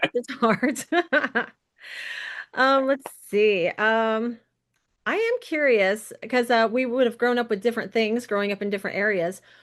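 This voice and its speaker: A woman's fairly high, fairly slow speech in an American accent, with fairly even intonation and long, frequent pauses. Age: 40s. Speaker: podcast host. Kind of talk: interview.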